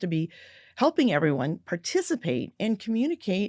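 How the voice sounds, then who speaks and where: A woman speaks in a very clean recording with a silent background. The sound is dry and close, with no echo. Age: 60s. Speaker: business author and communicator. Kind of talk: interview conversation.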